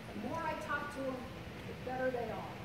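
Amid loud background noise and audible room echo, a woman speaks at a moderate pace. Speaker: presenter. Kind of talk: presentation talk to audience. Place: hall.

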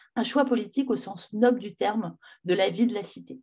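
A woman speaks with a fairly high pitch and a somewhat breathy tone. Her intonation is lively, her pace moderate, and the background quiet. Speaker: public health advocate. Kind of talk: webinar talk. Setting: video call. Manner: casual, lively. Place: home room. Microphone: video call.

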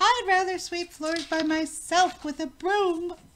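A woman speaks in a put-on character voice, extremely high-pitched, at a fairly slow pace with fairly even intonation. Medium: read story. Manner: fussy, motherly.

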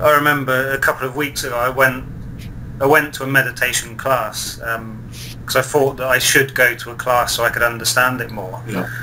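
Over noticeable background noise, a man at a medium pitch speaks fairly quickly in a flat monotone, his loudness swinging widely. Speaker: online video show host. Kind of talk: interview.

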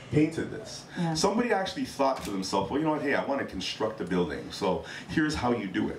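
Light background noise and audible room echo accompany a man as he speaks. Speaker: hot topics panelist. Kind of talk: casual chat. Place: stage. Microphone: handheld.

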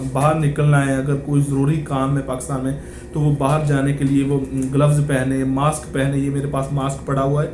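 A man speaks in a flat, monotone way. The room echoes audibly, with light noise in the background. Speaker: vlogger. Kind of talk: casual vlog commentary. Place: office. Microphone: phone near.

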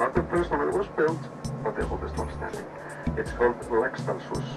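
Clear music plays in the background while the man talks. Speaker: tour guide. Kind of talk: tour commentary. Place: bus. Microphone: pa.

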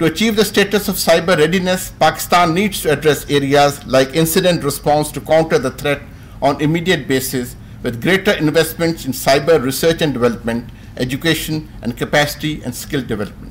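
A man at a fairly quick pace, with vocal fry, ordinary pitch variation and light background noise. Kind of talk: formal seminar speech. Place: hall. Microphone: podium.

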